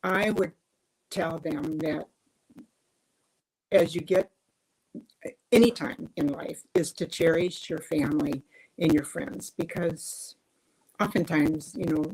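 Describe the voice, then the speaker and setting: A woman with a fairly low, somewhat breathy voice speaks very slowly and with lively intonation, pausing long and often. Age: old. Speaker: interview guest. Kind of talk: livestream interview conversation. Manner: halting.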